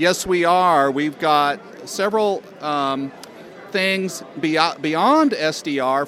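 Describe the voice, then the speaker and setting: A man speaks at a very slow pace with lively intonation and a fairly high pitch, over noticeable background noise. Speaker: organization president. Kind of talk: interview at booth.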